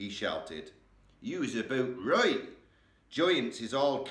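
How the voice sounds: Natural-sounding voice for reading aloud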